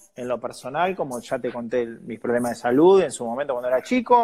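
A man talks at a very fast pace. His pitch swings very wide. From Argentina, San Nicolás de los Arroyos (Buenos Aires province). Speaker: journalist and TV presenter. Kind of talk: interview conversation.

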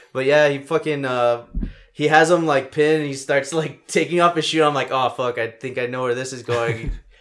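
Someone with an American accent and an ordinary speaking voice talks at a moderate pace with fairly even intonation. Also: man, fairly high pitch for a man. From El Paso, Texas. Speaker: podcast host. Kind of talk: mock wrestling ring-announcer intro, podcast opening.

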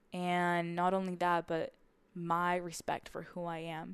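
Against a quiet background, a woman with a Spanish accent talks in a monotone, flat intonation at fairly low pitch. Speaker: podcast host. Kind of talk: solo podcast monologue, personal reflection. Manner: reflective, slightly halting with fillers.

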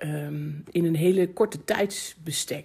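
A woman's fairly low, somewhat breathy voice at a very slow pace. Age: 40s. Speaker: podcast host. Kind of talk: solo podcast monologue. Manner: casual, laughing.

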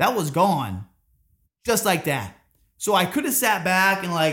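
A man with an American accent speaks in an energetic, bright and sharp tone, his pitch high. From Orlando, Florida. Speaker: CrossFit gym owner and coach. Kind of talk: casual interview.

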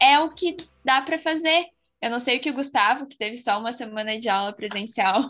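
A woman speaks in a plain, everyday voice at a fairly high pitch. Her pace is moderate, and her pitch varies in an ordinary way. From interior of Rio Grande do Sul, Brazil. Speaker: engineering student, co-host. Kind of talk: casual chat.

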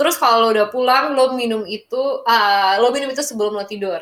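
Animated in tone, a woman talks at a very fast pace and a fairly high pitch. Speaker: podcast co-host. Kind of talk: casual chat, English-Indonesian code-switching.

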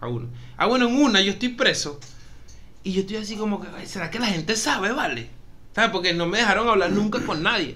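A high-pitched man projects a raised voice at a fairly quick pace with lively intonation, yet leaves long, frequent pauses. Audible room echo and noticeable background noise surround him. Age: 30s. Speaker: podcast co-host. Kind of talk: casual chat.

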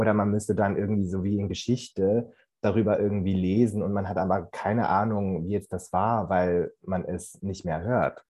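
Monotone, flat intonation marks this man's speech. He uses a fairly low pitch at a moderate pace. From Central Switzerland. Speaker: university student. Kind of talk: casual discussion.

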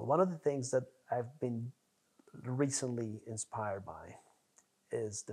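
In a Spanish accent, a man speaks at a medium pitch. His pitch variation is ordinary. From Colombia. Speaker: neurologist. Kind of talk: interview.

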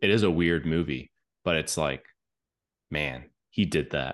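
Very deep and low in pitch, a man speaks at a fairly slow pace with vocal fry and ordinary pitch variation. The background is quiet. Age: 20s. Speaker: podcast host, filmmaker. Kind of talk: casual chat.

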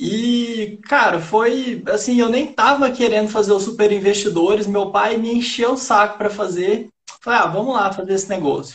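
Here a man speaks with a high pitch. He leaves hardly any pauses. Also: ordinary pitch variation, moderate pace. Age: 20s. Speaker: day trader, former civil engineer. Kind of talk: casual interview on a live stream.

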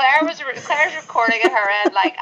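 A woman talks with a Northern Irish accent and very wide pitch swings. Noticeable background noise can be heard. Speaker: podcast co-host, artist and well-being blogger. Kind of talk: casual chat.

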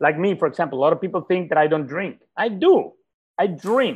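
A man talks at a fairly quick pace with a fairly high pitch, lively intonation, a slightly mellow tone and a slightly husky edge.

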